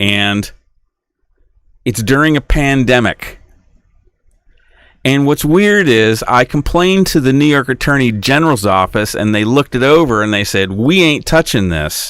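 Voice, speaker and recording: Pitch swings very widely at a moderate pace, with long, frequent pauses. The recording is very clean, with a silent background. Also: man, medium pitch for a man. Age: 60s. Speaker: podcaster. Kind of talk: solo podcast monologue. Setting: small home studio. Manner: halting, self-correcting.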